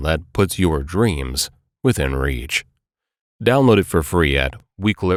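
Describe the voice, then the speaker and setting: A man does a gravelly, put-on character voice at a moderate pace. The recording is very clean, with a silent background. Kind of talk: announcer, ad read.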